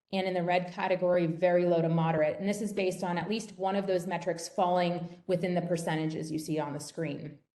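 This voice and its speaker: A woman talks at a very fast pace in a fairly low pitch, with a dark, mellow tone. Her intonation is monotone and flat, and the room echo is audible. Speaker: professor presenting research. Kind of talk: webinar lecture.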